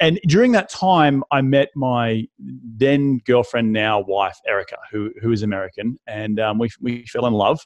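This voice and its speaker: Here a man speaks with an Australian accent at a medium pitch. His pace is fairly slow, with ordinary pitch variation. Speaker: real estate investor and author.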